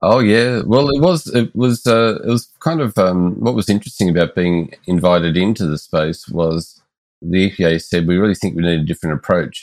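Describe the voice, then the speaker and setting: In an Australian accent, the speaker goes on with hardly any pauses and ordinary pitch variation. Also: man. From Melbourne, Australia. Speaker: engagement expert and consultant. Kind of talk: interview conversation.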